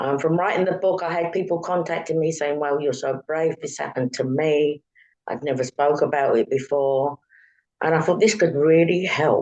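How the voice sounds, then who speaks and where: In a London accent, a woman speaks at a moderate pace with ordinary pitch variation. Her pitch is very deep and low. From London, England. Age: 60s. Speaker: author. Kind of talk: interview. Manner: halting.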